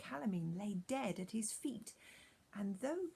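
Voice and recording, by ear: With lively intonation, the text is read aloud in a natural voice.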